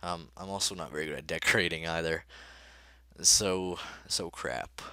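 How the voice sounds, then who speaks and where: On a very clean recording with a silent background, a man with a very deep, low pitch speaks in a bright, sharp tone marked by vocal fry. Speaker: gaming youtuber. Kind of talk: let's play commentary. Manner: halting, many fillers; casual.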